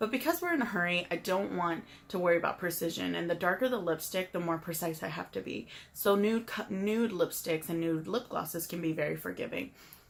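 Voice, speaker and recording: A woman's fairly low voice, fairly quick, with ordinary pitch variation and noticeable background noise. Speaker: makeup tutorial youtuber. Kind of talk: tutorial. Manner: mumbling; halting.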